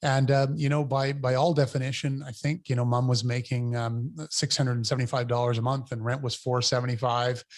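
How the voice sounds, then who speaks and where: At a fairly quick pace, a man with a medium pitch speaks in a monotone, flat way on a very clean recording with a silent background. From New Brunswick, Canada (Fredericton). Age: 50s. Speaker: mayor. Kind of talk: interview. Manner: halting, many fillers and repetitions.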